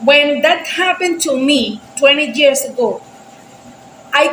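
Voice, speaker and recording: At a very slow pace and high pitch, a woman with a Spanish accent talks with ordinary pitch variation against noticeable background noise. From Venezuela. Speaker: reaction video creator. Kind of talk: casual chat. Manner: halting.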